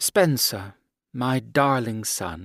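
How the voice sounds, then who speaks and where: Putting on a character voice, a man at medium pitch uses lively intonation. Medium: read story. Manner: frosty, formal.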